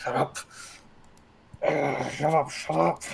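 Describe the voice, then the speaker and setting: A man whispers in a put-on character voice that sounds strained. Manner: harsh, strained whisper muttered to himself.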